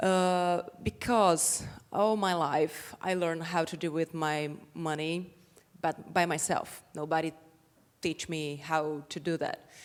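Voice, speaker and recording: At a very slow pace, the speaker uses a Portuguese accent and fairly even intonation. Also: woman, fairly low pitch for a woman. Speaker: women's rights activist and entrepreneur. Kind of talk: panel discussion.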